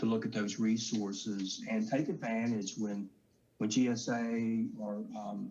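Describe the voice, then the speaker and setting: In a Southern US accent, a man speaks at medium pitch and a fairly slow pace with monotone, flat intonation. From US South. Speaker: government contracting official. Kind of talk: panel discussion.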